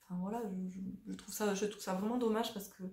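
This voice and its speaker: Dark and mellow in tone and somewhat breathy, a woman at medium pitch talks at a fairly quick pace with monotone, flat intonation. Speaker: spiritual coach and vlogger. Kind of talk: casual monologue to camera. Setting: at home on a sofa. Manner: fast; spontaneous, hesitant.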